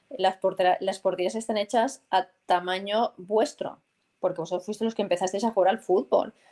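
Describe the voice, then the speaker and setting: A woman's dark, mellow tone carries fairly even intonation. She keeps a moderate pace. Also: medium pitch for a woman. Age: 40s. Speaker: football commentator and former military pilot. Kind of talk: interview.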